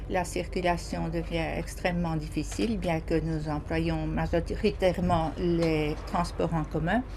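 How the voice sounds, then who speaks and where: Against noticeable background noise and audible room echo, a woman talks at a very slow pace with very even loudness and hardly any pauses. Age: 70s. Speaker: citizen interviewee. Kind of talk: vox pop testimony. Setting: mobile studio truck at a market.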